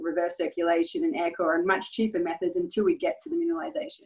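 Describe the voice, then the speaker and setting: Here a woman talks at a very fast pace. She speaks with an Australian accent. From Western Australia, Perth. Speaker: geologist and mining company CEO. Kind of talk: interview.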